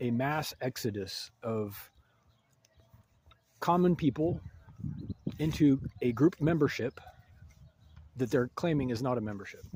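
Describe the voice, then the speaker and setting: A man with an American accent talks at a moderate pace, his medium-pitched voice dark, mellow and somewhat breathy, with ordinary pitch variation. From United States. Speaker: video essayist. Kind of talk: monologue commentary. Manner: halting.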